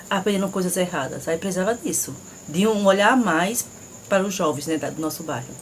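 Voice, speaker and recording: With ordinary pitch variation and a fairly low pitch, a woman speaks against noticeable background noise. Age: 40s. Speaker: school cook, interviewee. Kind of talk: interview.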